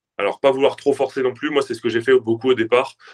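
A man's medium-pitched, a normal speaking voice with fairly even intonation and a dry, close sound with no echo. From southern France. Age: 20s. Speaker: fitness influencer and powerlifter. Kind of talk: casual interview.

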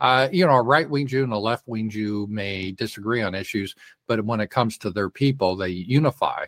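A man with an American accent and a plain, everyday voice speaks at a fairly low pitch with ordinary variation and a fairly quick pace, the sound dry and close with no echo. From Colorado, US. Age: 60s. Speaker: political commentator. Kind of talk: casual interview. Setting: remote call on livestream.

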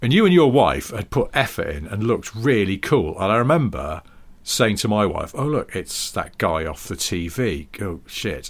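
A man's medium-pitched voice with a British accent, vocal fry, very wide pitch swings and a moderate pace. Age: 40s. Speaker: podcast co-host, motoring writer. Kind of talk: casual chat.

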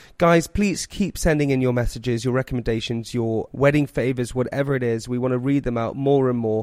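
A man with a plain, everyday voice talks at a fairly quick pace with hardly any pauses, at a medium pitch with ordinary pitch variation, on a very clean recording with a silent background. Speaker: podcast host. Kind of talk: casual chat.

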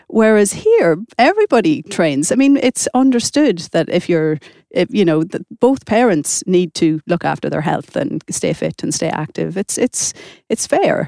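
A woman with an Irish accent speaks at a moderate pace and medium pitch, her dark, mellow tone showing very wide pitch swings in a dry, close sound with no echo. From Ireland. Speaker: author. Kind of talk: casual chat.

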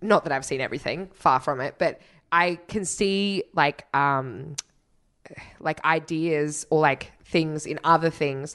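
A woman with an Australian accent talks at a fairly slow pace in a very deep, low pitch with ordinary variation. Her tone is playful, and the background is quiet. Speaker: podcast co-host. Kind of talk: casual comedy chat. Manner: playful, joking.

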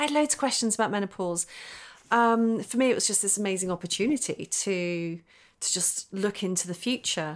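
A woman's unremarkable speaking voice at a medium pitch, fairly quick pace and ordinary pitch variation, in a very clean recording with a silent background. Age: 40s. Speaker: photographer and author. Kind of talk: interview.

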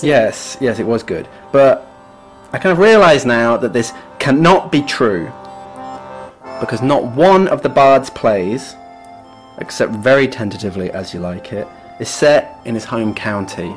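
With music in the background, the speaker moves at a fairly slow pace through very wide pitch swings and long, frequent pauses. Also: man, medium pitch for a man. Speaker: literature podcast co-host. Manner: casual, jokey, conversational.

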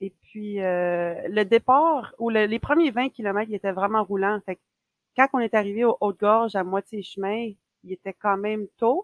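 With a Quebec accent, a woman speaks fairly slowly at a fairly high pitch, in a dry, close sound with no echo. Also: ordinary pitch variation. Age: 40s. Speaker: ultra runner and running coach. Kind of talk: casual chat. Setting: remote call.

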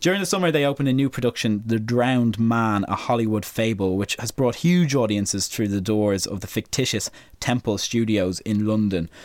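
An Irish-accented man speaks at a fairly quick pace in a medium pitch. The recording is very clean, with a silent background. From Ireland. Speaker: podcast host. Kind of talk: casual chat.

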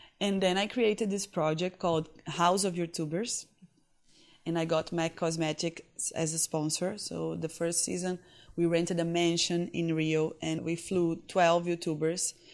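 With a Portuguese accent, a woman speaks at a fairly slow pace in a fairly low pitch. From Brazil, Recife (northeast). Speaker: fashion influencer. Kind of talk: interview. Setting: conference in Sao Paulo.

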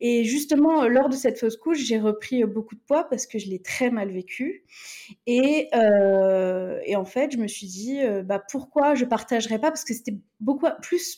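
This woman's voice has a dark, mellow tone and sits fairly high in pitch. She moves at a fairly slow pace with ordinary pitch variation. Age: 30s. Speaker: influencer. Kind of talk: casual chat.

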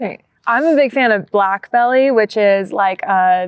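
A plain, everyday voice: a woman with an American accent, fairly high in pitch, fairly slow, with ordinary pitch variation. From US Midwest, Minnesota. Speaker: professional marathon runner. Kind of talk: casual interview. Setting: outdoors in a park.

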